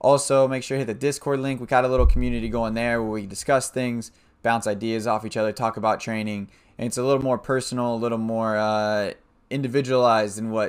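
Over a quiet background, a man talks at a very fast pace with monotone, flat intonation. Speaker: streamer, host. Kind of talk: casual vlog intro. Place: home room.

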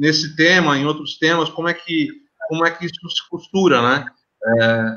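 Against a quiet background, a man with an ordinary speaking voice talks at a fairly high pitch and a moderate pace. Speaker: live host and moderator. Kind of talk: moderated panel discussion. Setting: video call. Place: home room. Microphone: video call.

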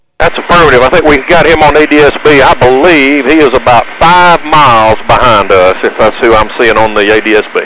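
A man speaks at a fairly quick pace with very even loudness and ordinary pitch variation, in a dry sound with no echo but noticeable background noise. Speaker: vlogger. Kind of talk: casual vlog commentary. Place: plane. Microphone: headset.

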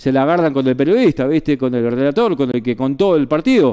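Lively intonation and a dark, mellow tone come through over a quiet background. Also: man. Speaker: sports journalist / radio broadcaster, former colleague of the deceased. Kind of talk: radio tribute and eulogy for a colleague. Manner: conversational, with hesitations and fillers. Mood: warm, somber remembrance. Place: studio.

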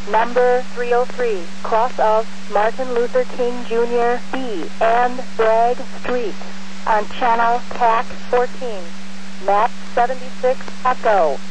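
Very slow delivery with long, frequent pauses, a dry sound with no echo, and light background noise. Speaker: fire dispatcher. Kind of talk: radio dispatch, reading out calls and addresses.

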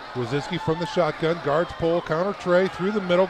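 A man's speech comes through with noticeable background noise around it. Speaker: sports play-by-play announcer. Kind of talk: live commentary. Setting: outdoors at a stadium. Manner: animated.

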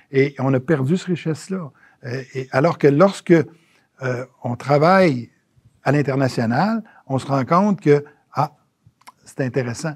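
Against a quiet background, a man talks at a very slow pace with a somewhat breathy voice, long, frequent pauses and ordinary pitch variation. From Quebec City area, Quebec; Quebec. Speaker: geriatrician and former health minister; former health minister. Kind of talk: interview. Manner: halting, many hesitations. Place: office. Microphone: lapel.

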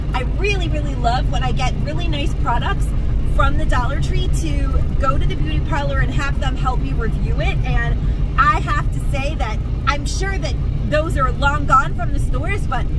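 A woman at a moderate pace, the sound dry with no echo, amid loud background noise. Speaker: shopping vlogger. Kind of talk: casual vlog chat. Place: car. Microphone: phone near.

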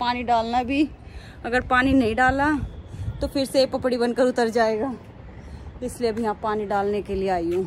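A woman speaks with a high pitch and ordinary pitch variation. Light background noise sits behind her. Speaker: home vlogger. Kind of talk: casual vlog chat. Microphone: phone near.

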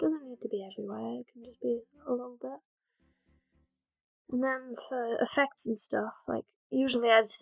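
Music plays in the background as a woman talks fairly slowly. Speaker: digital artist. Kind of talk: art tutorial voiceover. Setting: low-quality microphone. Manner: soft-spoken.

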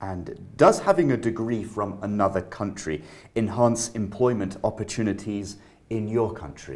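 A man with a plain, everyday voice and a fairly low pitch speaks at a moderate pace with ordinary pitch variation and big swings in loudness. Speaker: IELTS speaking examiner. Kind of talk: exam interview questions. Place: office. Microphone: camera far.

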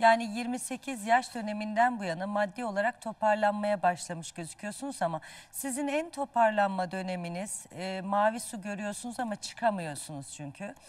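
A woman's somewhat breathy voice shows big swings in loudness. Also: medium pitch for a woman, ordinary pitch variation, moderate pace. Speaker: dream interpreter. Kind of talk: live TV dream readings for callers. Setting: TV studio, live broadcast.

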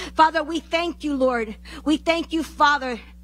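At a moderate pace, a woman speaks with a high pitch and fairly even intonation. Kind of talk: fervent group prayer. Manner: halting, repeating 'Father' and 'Lord' between phrases. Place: church. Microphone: handheld.

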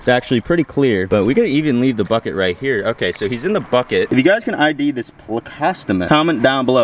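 A man speaks very fast with hardly any pauses and very wide pitch swings. The sound is dry with no echo, over light background noise. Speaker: outdoor fishing vlogger. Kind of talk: casual vlog chat. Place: waterside. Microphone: phone near.

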